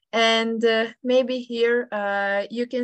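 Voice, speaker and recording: With a Serbian accent, a woman speaks at a fairly high pitch in a monotone, flat intonation. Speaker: amateur radio operator. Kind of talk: presentation. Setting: video call. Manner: halting.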